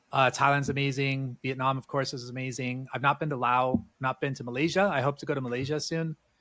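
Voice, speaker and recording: With a West Coast US accent, a man speaks in fairly even intonation. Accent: General American, West Coast. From US, Southern California. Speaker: entrepreneur and former tour guide. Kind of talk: casual interview chat. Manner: hesitant, many fillers.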